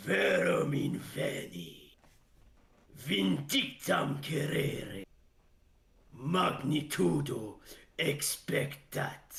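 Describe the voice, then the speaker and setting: A put-on character voice booms out, raspy and very slow. Long pauses come often. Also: man, fairly high pitch for a man. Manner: menacing, ominous.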